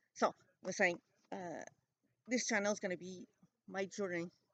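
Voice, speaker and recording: Speaking in a French Canadian accent, a woman uses a medium pitch, fairly even intonation and a moderate pace, with big swings in loudness and a dry, close sound with no echo. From Quebec. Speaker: vlogger. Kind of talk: casual vlog monologue. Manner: halting, many fillers.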